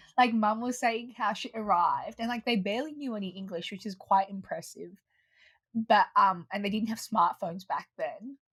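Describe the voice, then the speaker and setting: A woman with an Australian accent talks at a moderate pace and fairly high pitch, with ordinary pitch variation and big swings in loudness. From Australia, Melbourne. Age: 20s. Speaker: online community co-founder. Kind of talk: interview. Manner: hesitant, many fillers.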